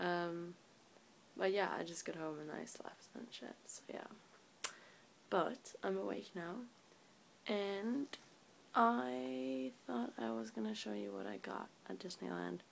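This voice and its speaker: A woman with a very deep, low pitch speaks at a very slow pace, her pitch swinging very widely. She leaves long, frequent pauses over light background noise. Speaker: vlogger. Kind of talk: casual talk to camera. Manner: sleepy. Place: home room. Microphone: phone near.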